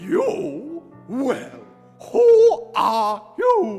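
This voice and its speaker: Someone performs a put-on character voice with faint music in the background. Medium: stage play. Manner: curt, languid.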